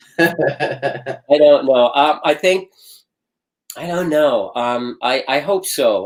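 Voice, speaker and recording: A man with a fairly high voice. He speaks at a very slow pace. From Philippines. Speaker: stage and screen actor. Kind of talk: interview. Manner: halting, many repetitions.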